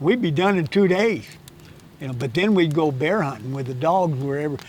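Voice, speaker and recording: A man with a rural western American accent, fairly high pitch, lively intonation and a fairly quick pace, with audible room echo. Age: 80s+. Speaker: hunting guide and instructor. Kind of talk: casual interview chat. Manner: halting, many repetitions and false starts.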